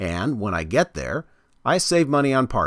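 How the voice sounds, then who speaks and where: A man with an American accent speaks at a moderate pace and medium pitch, with very wide pitch swings, on a very clean recording with a silent background. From California. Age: 50s. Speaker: motorcycle vlogger. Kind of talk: scripted narration.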